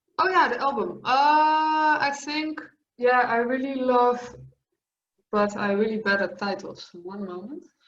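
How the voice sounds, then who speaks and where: A woman speaks in a Dutch accent at a fairly slow pace, her high voice lively in intonation. The room echo is audible. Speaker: metal singer. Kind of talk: interview. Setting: video call.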